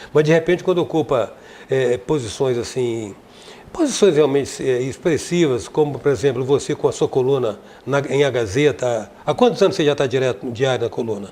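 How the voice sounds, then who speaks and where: A man speaks in an ordinary speaking voice with a fairly high pitch. His pace is moderate, with ordinary pitch variation. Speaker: TV talk show host. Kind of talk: interview.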